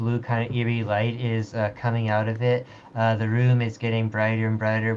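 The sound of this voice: Speech in an unforced reading voice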